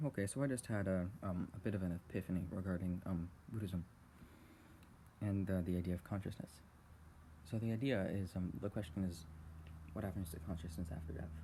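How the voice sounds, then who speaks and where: Soft-spoken and somewhat breathy, a man with a very deep, low pitch and a dark, mellow tone leaves long, frequent pauses. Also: ordinary pitch variation. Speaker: channel owner recording personal thoughts. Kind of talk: casual rambling talk about philosophy, unscripted. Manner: soft-spoken, quiet, hesitant with fillers.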